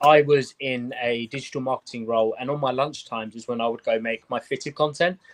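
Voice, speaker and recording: In a British accent, a man at medium pitch speaks with fairly even intonation and a dry, close sound with no echo. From UK. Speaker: sneaker and hat content creator. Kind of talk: casual chat.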